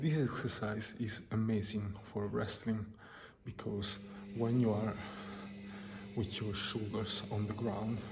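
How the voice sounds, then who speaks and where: A man's fairly low, somewhat breathy voice in a relaxed tone, fairly slow and with monotone, flat intonation. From Italy. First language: Italian. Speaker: deaf fitness enthusiast and wrestler. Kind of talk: soft-spoken workout advice to camera. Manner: soft-spoken, relaxed.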